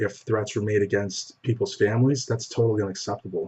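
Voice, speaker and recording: A soft-spoken man's somewhat breathy voice at medium pitch. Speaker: bodybuilding news show host. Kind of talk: news commentary.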